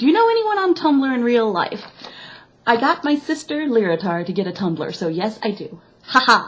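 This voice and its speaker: A woman speaks at a moderate pace with a fairly high pitch and very wide pitch swings. Noticeable background noise runs behind her. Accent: American. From US Midwest, Chicago. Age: 20s. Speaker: vlogger. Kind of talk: casual chat.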